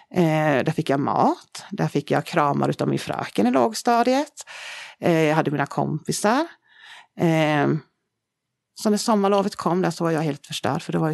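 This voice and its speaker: A woman speaks at a moderate pace with lively intonation, a very deep, low pitch and vocal fry. The sound is dry and close with no echo over a quiet background. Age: 40s. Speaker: founder of a charity. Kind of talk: personal testimony. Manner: halting, many fillers.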